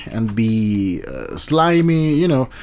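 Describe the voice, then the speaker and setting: This is a man's voice. He speaks with a Spanish accent. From Colombia. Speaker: YouTuber commentator. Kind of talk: casual commentary monologue. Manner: halting, many fillers and restarts.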